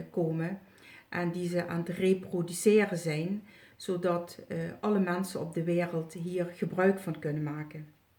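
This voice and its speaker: A woman with a fairly low pitch, dark, mellow tone, somewhat breathy delivery, fairly even intonation and fairly slow pace. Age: 60s. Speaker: retired healer and psychic. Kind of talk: testimonial video review. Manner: halting, many filler sounds.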